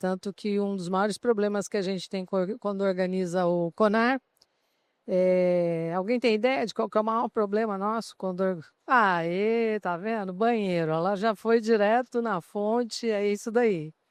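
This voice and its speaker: At a fairly slow pace, a woman with a medium pitch speaks in a dry, close sound with no echo. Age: 60s. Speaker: HR association president and CEO. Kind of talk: panel talk at a trade fair. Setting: exhibition stand with live audience. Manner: animated.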